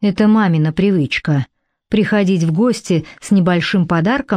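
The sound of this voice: An unforced reading voice with ordinary pitch variation, set against a quiet background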